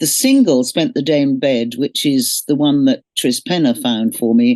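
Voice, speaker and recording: A woman speaks with a very deep, low pitch and a dark, mellow tone at a moderate pace. Her pitch varies in an ordinary way, her loudness stays very even, and the sound is dry and close with no echo. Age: 70s. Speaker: singer. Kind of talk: interview.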